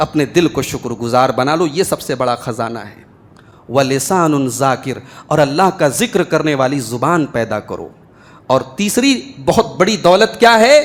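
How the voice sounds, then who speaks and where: A man's voice shows very wide pitch swings and big swings in loudness. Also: fairly high pitch for a man. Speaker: Islamic scholar delivering Friday sermon. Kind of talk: Friday sermon (khutba) to a congregation. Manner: passionate, oratorical, emphatic preaching.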